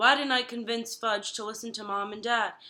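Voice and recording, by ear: The intonation is fairly even. A person reads aloud in a natural voice.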